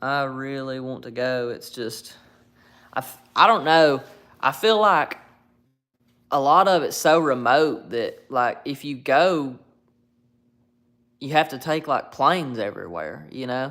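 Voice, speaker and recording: A man talks at a fairly slow pace and a fairly high pitch, pausing long and often. His tone is bright and sharp, his loudness swings widely, and the recording is very clean with a silent background. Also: ordinary pitch variation. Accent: Alabama. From US South, North Alabama. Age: 20s. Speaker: YouTuber live streamer. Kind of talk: casual chat.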